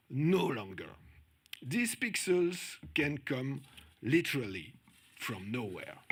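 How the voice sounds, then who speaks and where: A man with a strong French accent, fairly high pitch and very wide pitch swings, at a very slow pace with long, frequent pauses. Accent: strong French-speaking accent in English. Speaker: conference speaker on journalism. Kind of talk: conference talk.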